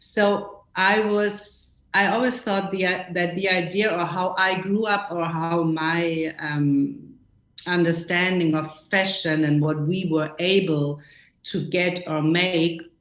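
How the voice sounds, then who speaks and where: In a German accent, a woman speaks very slowly at a fairly low pitch with fairly even intonation, and audible room echo surrounds her. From West Germany, small town. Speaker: costume designer. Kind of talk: interview. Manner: halting.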